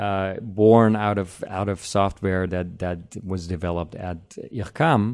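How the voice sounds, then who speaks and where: A man talks at a fairly slow pace in a German accent. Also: very clean recording, silent background. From Germany. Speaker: composer. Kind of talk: interview. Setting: indoor room with air conditioning. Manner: halting.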